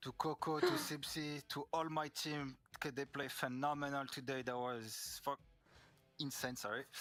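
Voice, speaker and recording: In a French accent, a man speaks with a fairly high pitch and flat, monotone intonation. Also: moderate pace. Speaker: esports player. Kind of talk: post-match interview. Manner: halting.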